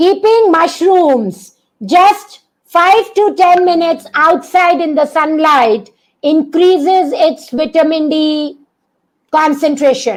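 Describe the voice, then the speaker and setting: This woman talks very slowly and loudly at an extremely high pitch. Her intonation is lively. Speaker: doctor giving a health webinar. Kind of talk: online masterclass webinar. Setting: online video session. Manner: animated, engaging the audience.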